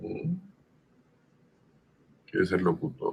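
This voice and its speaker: Vocal fry runs through this man's voice. He swings his pitch very widely. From Sonora, Mexico. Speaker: voice actor. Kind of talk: interview answer. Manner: casual storytelling.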